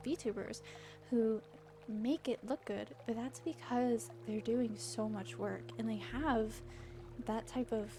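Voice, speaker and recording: Music plays in the background as a soft-spoken woman talks at a very slow pace. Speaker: VTuber streamer. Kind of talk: casual chat. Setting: livestream. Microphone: mic too quiet.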